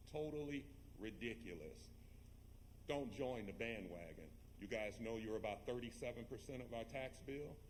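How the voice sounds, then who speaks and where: A man at medium pitch with vocal fry and lively intonation, talking at a moderate pace amid audible room echo. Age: 60s. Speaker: resident speaking at public comment. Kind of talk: public comment at board meeting. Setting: public board meeting. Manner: emphatic.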